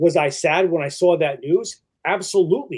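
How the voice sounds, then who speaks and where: His pitch swings very widely. The man speaks with a Boston accent. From New England (Boston area). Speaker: podcast guest, wrestling fan. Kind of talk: casual chat. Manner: halting, many false starts and fillers.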